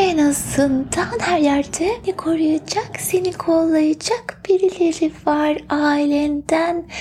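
Against noticeable background noise, the speech comes at a very slow pace with hardly any pauses, in a playful, serious tone. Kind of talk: asmr role-play as a fortune teller, reading coffee grounds and palm. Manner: playful and teasing, mock-serious, with giggles and pet names; soft-spoken, slow, soothing, coaxing the listener to relax and breathe.

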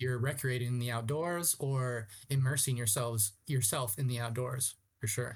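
A man's somewhat breathy voice at medium pitch, with a Californian accent, a moderate pace, very even loudness and fairly even intonation. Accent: Californian American English. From Southern California (Ramona, San Diego County). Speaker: outdoor guide and tour company founder. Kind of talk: casual interview conversation. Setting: remote call.

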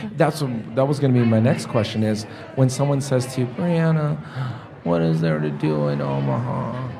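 A man speaks at a medium pitch and a moderate pace, his pitch swinging very widely. There is audible room echo and noticeable background noise. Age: 40s. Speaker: podcast host. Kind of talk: casual interview. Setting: studio.

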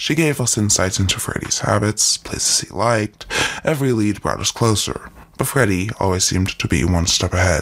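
A man talks at a moderate pace with a fairly low pitch and very wide pitch swings. Noticeable background noise is present. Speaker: co-host sidekick. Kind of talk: scripted banter with in-character detective lines during story.

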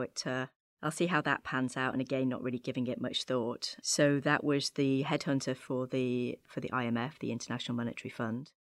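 In a very clean recording with a silent background, a woman with a British accent talks at a fairly quick pace, her very deep, low pitch showing ordinary variation. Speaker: creative agency head, former journalist. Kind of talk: interview.

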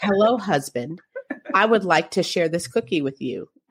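A robotic, put-on character voice at a middle pitch and a moderate pace

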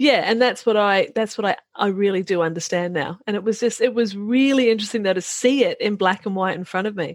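Speaking at a fairly quick pace with hardly any pauses, a woman uses a medium pitch with ordinary variation. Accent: New Zealand. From New Zealand, rural. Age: 50s. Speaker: author and business mentor. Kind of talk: casual interview.

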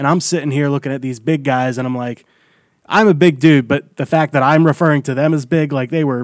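Speaking in a normal speaking voice with an American accent, a man at a fairly high pitch keeps a moderate pace and fairly even intonation. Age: 20s. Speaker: comedian. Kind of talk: casual chat.

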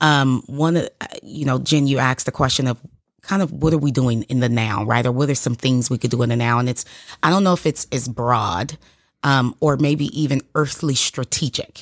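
Very deep and low in pitch, a woman speaks at a moderate pace with very even loudness, the sound dry and close with no echo on a very clean recording with a silent background. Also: ordinary pitch variation. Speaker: guest. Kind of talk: casual chat.

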